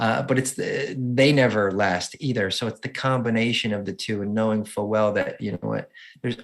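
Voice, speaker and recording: Speaking at a fairly quick pace with a New Jersey accent, a man uses a fairly low pitch and ordinary pitch variation on a very clean recording with a silent background. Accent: New Jersey accent, noticeable. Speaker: motivational speaker and adaptive surfer. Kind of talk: interview.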